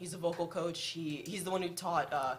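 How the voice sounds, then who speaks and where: Audible room echo surrounds a woman talking at a fairly quick pace with fairly even intonation. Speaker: lead singer of a band. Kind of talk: radio interview. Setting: radio studio.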